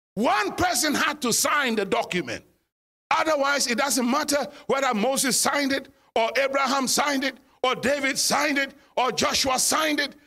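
In a raised, projected voice, a man speaks at an extremely high pitch with a bright, sharp tone and very even loudness. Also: ordinary pitch variation, moderate pace. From Ghana. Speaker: guest pastor. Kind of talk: sermon.

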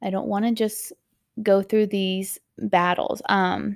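In a very clean recording with a silent background and a dry, close sound with no echo, a normal speaking voice talks at a fairly slow pace. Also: woman. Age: 30s. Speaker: parenting podcast host. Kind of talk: solo podcast monologue.

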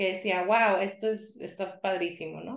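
The speaker here is female. Her voice lands at a medium pitch. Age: 40s. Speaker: yoga teacher. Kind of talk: interview.

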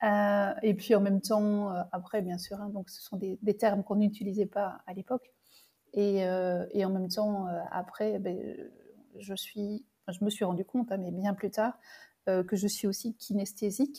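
A woman speaks fairly slowly in a somewhat breathy voice with a dark, mellow tone and flat, monotone intonation. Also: medium pitch for a woman. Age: 60s. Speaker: medium and intuitive coach. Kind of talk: interview, personal testimony. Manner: halting, with many repetitions and fillers.

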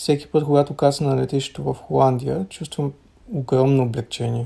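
Quick-paced and fairly high-pitched, a man talks in a plain, everyday voice with ordinary pitch variation. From Bulgaria. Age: 30s. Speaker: student, former LGBT activist. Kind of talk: recorded interview answers.

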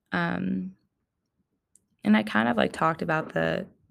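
Vocal fry runs through this woman's voice. She swings her pitch very widely. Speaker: podcast host. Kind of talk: personal reflective monologue. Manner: casual with many fillers.

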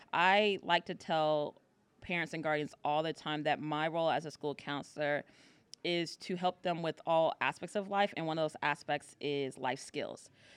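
With an American accent, a woman speaks at a moderate pace in a very deep, low voice with fairly even intonation, captured on a very clean recording with a silent background and a dry, close sound with no echo. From US, northern Virginia. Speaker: high school counselor. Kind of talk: casual interview.

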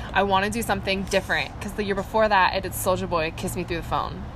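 A woman rushes along very fast at a medium pitch while noticeable noise fills the background. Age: 20s. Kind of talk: casual chat.

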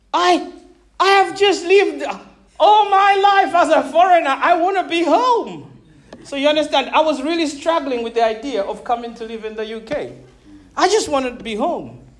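A man at an extremely high pitch with very wide pitch swings, a moderate pace, audible room echo and noticeable background noise. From Zambia (Malawian family). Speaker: pastor. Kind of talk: sermon. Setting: church.

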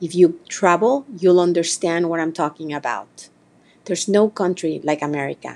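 Speaking in a Spanish accent, a woman talks at a fairly slow pace with a fairly low pitch and ordinary pitch variation. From Mexico, small town. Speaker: podcast host. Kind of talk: holiday address to audience.

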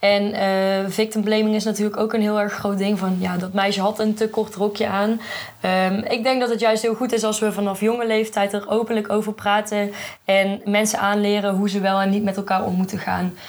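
Monotone, flat intonation at very even loudness against noticeable background noise. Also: woman, medium pitch for a woman. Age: 20s. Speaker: journalism student. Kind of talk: casual chat. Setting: festival podcast recording.

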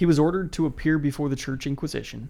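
On a very clean recording with a silent background, a man speaks in a dark, mellow tone with ordinary pitch variation. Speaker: podcast co-host. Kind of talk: casual chat and history storytelling.

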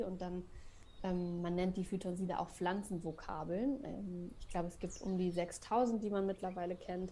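A woman with a dark, mellow tone speaks at medium pitch and a moderate pace. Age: 30s. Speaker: freelance copywriter and forest bathing guide. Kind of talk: radio interview.

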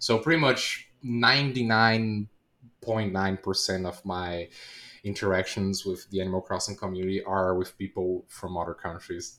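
A man with a Portuguese accent speaks at a fairly low pitch and a moderate pace in a bright, sharp tone with ordinary pitch variation, and the recording is very clean with a silent background. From Brazil. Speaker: Twitch streamer. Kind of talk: casual interview.

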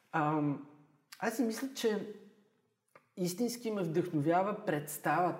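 High-pitched, a man speaks at a very slow pace with long, frequent pauses. His intonation is lively, and room echo is audible. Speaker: history teacher. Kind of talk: casual chat.

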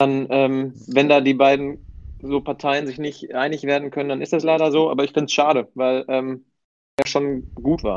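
Speaking at a moderate pace, a man holds a monotone, flat intonation in a fairly high pitch. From Bielefeld, Germany. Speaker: football fan, community member. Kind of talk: casual chat.

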